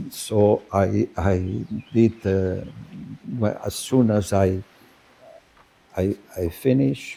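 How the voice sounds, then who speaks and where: Amid noticeable background noise, a man with a fairly low pitch speaks at a very slow pace with long, frequent pauses. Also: ordinary pitch variation. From Spain. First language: Spanish. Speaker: business school professor. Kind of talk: conference speech. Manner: halting, many filler words.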